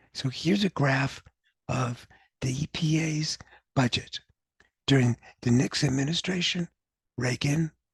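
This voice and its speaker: A man's somewhat breathy voice comes with long, frequent pauses. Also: fairly high pitch for a man, ordinary pitch variation, fairly slow pace. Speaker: university professor. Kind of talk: academic lecture.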